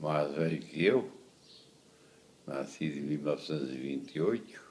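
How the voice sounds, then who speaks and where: A man with a very deep, low pitch, a dark, mellow tone and vocal fry speaks at a fairly slow pace with ordinary pitch variation and audible room echo. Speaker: traditionalist rodeo lasso veteran. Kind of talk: interview.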